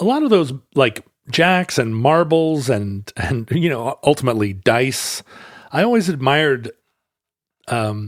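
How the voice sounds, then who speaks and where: On a very clean, dry, close recording with a silent background and no echo, a man of medium pitch with an American accent speaks fairly slowly with long, frequent pauses, lively intonation and an animated tone. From United States. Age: 50s. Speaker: podcast co-host. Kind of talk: casual chat.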